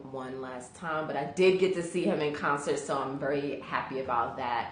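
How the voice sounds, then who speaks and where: Amid audible room echo and noticeable background noise, a woman with a very deep, low pitch talks at a moderate pace. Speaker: live video host. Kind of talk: live stream chat with viewers. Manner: halting, many fillers.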